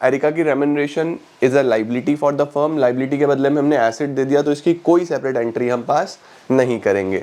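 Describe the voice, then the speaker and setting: Talking at a fairly quick pace, a man uses a fairly high pitch, a dark, mellow tone and ordinary pitch variation. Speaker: online commerce teacher. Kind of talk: tutorial. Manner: conversational, explaining.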